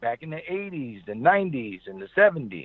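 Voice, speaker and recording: Using lively intonation, a man talks at a moderate pace with an American accent. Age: 60s. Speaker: high school football coach. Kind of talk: interview.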